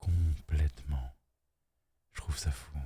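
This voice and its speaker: Soft-spoken and somewhat breathy, a man with a very deep, low pitch and a dark, mellow tone speaks with fairly even intonation. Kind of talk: ASMR relaxation talk.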